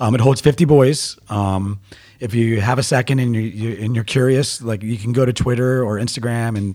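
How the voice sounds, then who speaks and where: A man with an American accent speaks at a medium pitch in a dark, mellow tone, on a very clean recording with a silent background. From US Mid-Atlantic, Baltimore area (Owings Mills). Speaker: youth soccer coach. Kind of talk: casual interview.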